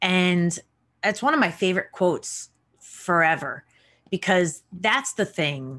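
Very even in loudness, a woman with a New York accent speaks at a fairly slow pace with long, frequent pauses. The recording is very clean, with a silent background. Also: medium pitch for a woman, lively intonation. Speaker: podcast host and actor. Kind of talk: casual interview.

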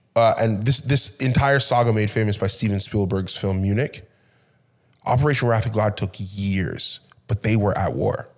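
On a very clean recording with a silent background, a man speaks in a normal speaking voice. His pitch is fairly low with ordinary variation, and his pace is moderate. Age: 30s. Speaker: podcast host. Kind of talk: casual interview.

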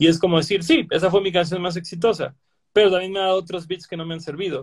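A man with a Mexican accent at a fairly quick pace, fairly even in intonation. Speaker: podcast host. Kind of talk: casual chat.

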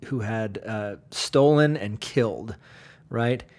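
A man is talking at a medium pitch. The amount his pitch varies is ordinary. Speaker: pastor. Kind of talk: bible study talk. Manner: halting.

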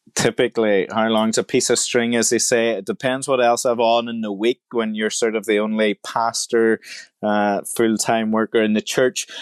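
The recording is very clean, with a silent background and a dry, close sound that has no echo. The delivery moves at a moderate pace in a flat monotone. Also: man, medium pitch for a man. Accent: Irish. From Republic of Ireland, rural. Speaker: pastor. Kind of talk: interview conversation.

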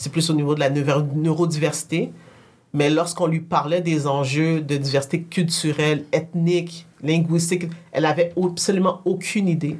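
A woman speaks at a moderate pace in a fairly low pitch. Her voice is somewhat breathy, with monotone, flat intonation. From Quebec. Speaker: tech entrepreneur. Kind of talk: casual conversation.

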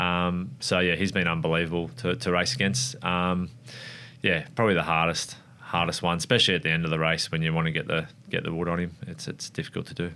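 Speaking very fast with an Australian accent, a man has a very deep, low pitch, a bright, sharp tone and ordinary pitch variation. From Australia, Wollongong NSW. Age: 30s. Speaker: motorcycle racer. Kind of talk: casual interview.

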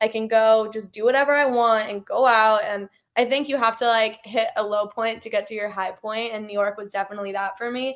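A woman with an American accent and an ordinary speaking voice talks fairly quickly and fairly high, her intonation fairly even, on a very clean recording with a silent background. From US West Coast, Los Angeles. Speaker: pop singer. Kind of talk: interview.

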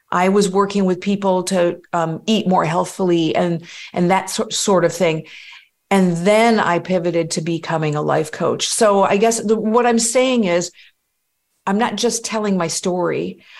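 Speaking at a fairly slow pace, a woman uses a plain, everyday voice at medium pitch with fairly even intonation. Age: 50s. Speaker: life coach. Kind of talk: guided meditation; interview conversation.

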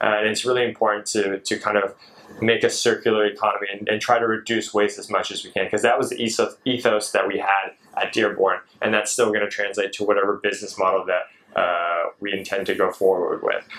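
An American accent at a fairly quick pace. Noticeable background noise sits behind the voice. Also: man. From US West Coast (Seattle). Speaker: chef and granola business owner. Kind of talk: casual interview.

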